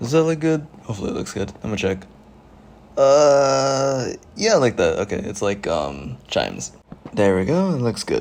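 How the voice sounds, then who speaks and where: At a moderate pace, a quiet voice moves through very wide pitch swings. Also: man, medium pitch for a man. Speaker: gaming youtuber. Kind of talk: gameplay commentary. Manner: casual, hesitant with fillers.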